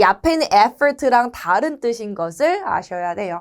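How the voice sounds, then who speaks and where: Moving at a very slow pace, a woman's voice swings very widely in pitch. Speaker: English teacher. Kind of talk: lecture.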